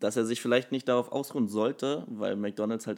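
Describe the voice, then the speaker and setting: In a very clean recording with a silent background, a man with a plain, everyday voice talks at a moderate pace with fairly even intonation. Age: 20s. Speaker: personal trainer and nutrition coach. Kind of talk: casual interview. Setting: studio, sitting next to host.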